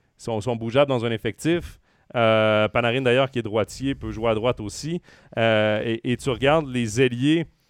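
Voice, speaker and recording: A man with a Quebec accent speaks at medium pitch and a moderate pace, with ordinary pitch variation. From Quebec, Trois-Rivières. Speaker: hockey podcast host. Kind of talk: sports talk show. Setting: live stream with chat.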